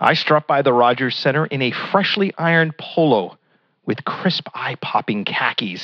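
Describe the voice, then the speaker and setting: His intonation is lively as a man speaks. The tempo is moderate, and he has an ordinary speaking voice. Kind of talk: comedy routine, character bit as a blustering sports-radio caller.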